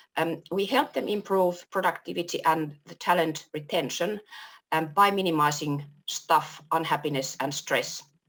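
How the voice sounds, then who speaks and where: A woman's very deep, low voice with a Finnish accent, at a moderate pace with ordinary pitch variation. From Finland. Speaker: workplace culture consultant. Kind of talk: panel discussion.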